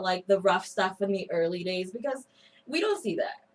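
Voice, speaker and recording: At a moderate pace, a woman talks with a slight Spanish accent. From Mexico, Mexico City. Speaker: radio co-host. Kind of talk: radio interview. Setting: studio.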